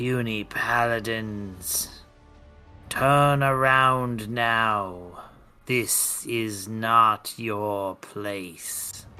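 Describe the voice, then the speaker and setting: A man puts on a raspy character voice at a medium pitch, talking very slowly with fairly even intonation over faint background music. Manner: commanding, warning.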